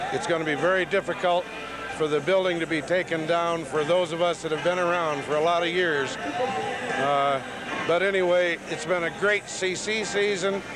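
At a moderate pace, a man with a high pitch speaks with fairly even intonation, the sound dry with no echo and noticeable background noise behind him. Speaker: arena public address announcer. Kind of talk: interview answer, reflective. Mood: nostalgic, a bit sad. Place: stadium. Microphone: handheld.

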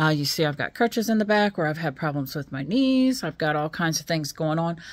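The woman's voice sits at a very deep, low pitch. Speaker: new vlogger. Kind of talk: casual vlog chat. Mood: excited, a bit nervous. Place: home room. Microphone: phone near.

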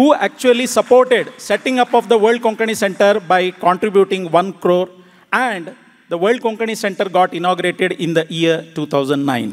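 His intonation is lively. The man talks at a moderate pace. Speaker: conference speaker. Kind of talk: formal speech. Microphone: podium.

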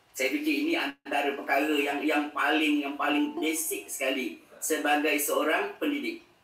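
There is audible room echo around a man's voice. He speaks at a fairly slow pace. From Malaysia. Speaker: religious education official; speaker, educator. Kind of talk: formal speech. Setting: video call. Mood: warm, thankful.

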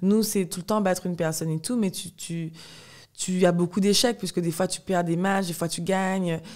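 With fairly even intonation, a woman speaks at a moderate pace over a quiet background. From Guadeloupe. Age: 20s. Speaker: professional fencer; podcast guest. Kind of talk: interview. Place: home room. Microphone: studio mic.

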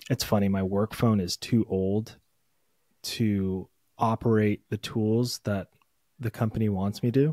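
A man with a fairly low pitch talks at a fairly slow pace with long, frequent pauses and fairly even intonation. His tone is dark and mellow, the sound dry with no echo over a quiet background. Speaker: podcast co-host; podcast host. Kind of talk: casual chat. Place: home room. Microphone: studio mic.

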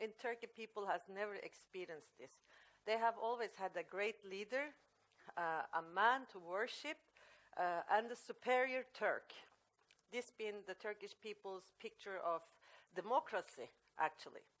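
A woman with a Norwegian accent at a fairly slow pace, with long, frequent pauses, big swings in loudness and ordinary pitch variation. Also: medium pitch for a woman. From Norway. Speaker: author. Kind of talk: panel talk. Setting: stage with audience. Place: meeting room.

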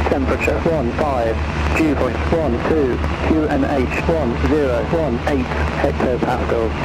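The speech moves at a fairly slow pace while music plays in the background. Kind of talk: recorded weather and airfield information readout. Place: plane.

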